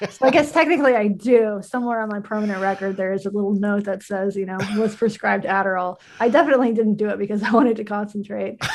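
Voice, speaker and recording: A woman with an American accent talks at a very fast pace, with hardly any pauses and ordinary pitch variation. Noticeable background noise is present. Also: medium pitch for a woman. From US South. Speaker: journalist and podcaster. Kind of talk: interview. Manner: halting with many fillers.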